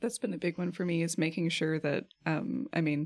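A woman with a fairly low pitch and vocal fry talks at a moderate pace in a very clean recording with a silent background. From rural area. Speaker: librarian and podcast host. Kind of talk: casual chat.

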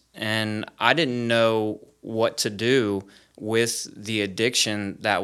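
A normal speaking voice with an American accent carries fairly even intonation. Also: man. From Florida, US. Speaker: recovery program leader, former addict. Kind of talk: testimony.

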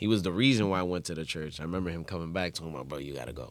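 Heard with audible room echo, a man speaks in a very deep, low pitch with vocal fry. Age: 30s. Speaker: merengue musician. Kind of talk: casual interview.

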